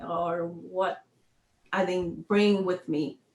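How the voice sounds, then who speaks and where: A woman talks with a Spanish accent. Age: 50s. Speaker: retired army sergeant major, workshop facilitator. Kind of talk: interview conversation. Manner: halting.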